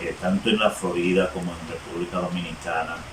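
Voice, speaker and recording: The man's voice is very deep and low, with fairly even intonation. Noticeable background noise is present. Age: 60s. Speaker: interviewed resident. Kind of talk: testimony. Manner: halting.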